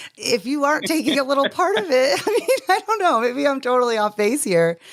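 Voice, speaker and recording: A woman talks at a fairly quick pace with very even loudness. Noticeable background noise runs behind her. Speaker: podcast host. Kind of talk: casual podcast conversation.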